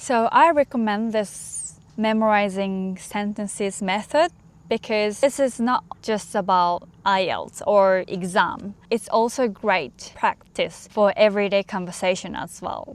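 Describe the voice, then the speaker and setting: A woman with a Japanese accent at medium pitch, fairly slow in pace with hardly any pauses and ordinary pitch variation. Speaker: English learning vlogger. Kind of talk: casual talk to camera.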